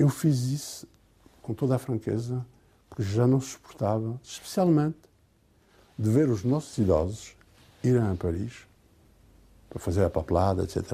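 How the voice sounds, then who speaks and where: A man with medium pitch and a dark, mellow tone speaks at a moderate pace, somewhat breathy. His intonation is lively, broken up by long, frequent pauses. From Portugal, Alto Alentejo (Nisa), raised in France from age 7. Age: 60s. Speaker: honorary consul, retired lawyer. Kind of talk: interview. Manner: halting.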